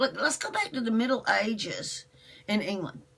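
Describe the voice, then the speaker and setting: An animated, fairly high-pitched woman's voice over noticeable background noise. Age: 60s. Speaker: internet radio host. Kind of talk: live stream monologue. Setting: live video broadcast.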